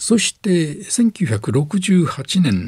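A man talks with very wide pitch swings. Background noise is noticeable. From Onomichi, Hiroshima, Japan. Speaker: retired radio announcer. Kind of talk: lecture. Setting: studio.

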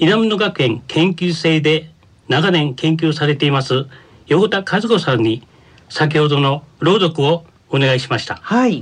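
With a plain, everyday voice, a man speaks at a fairly slow pace and a fairly high pitch, his intonation lively. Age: 60s. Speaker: senior college student. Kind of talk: radio segment presentation.

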